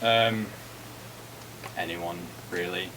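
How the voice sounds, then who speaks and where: Noticeable background noise sits behind a man whose fairly low voice holds a fairly even intonation. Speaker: student. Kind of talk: answering questions from classmates. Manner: hesitant, stammering.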